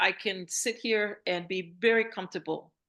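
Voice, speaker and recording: A woman's bright, sharp voice with ordinary pitch variation, over a quiet background. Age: 60s. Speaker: retiree and screenwriter. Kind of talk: interview answer. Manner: casual, hesitant.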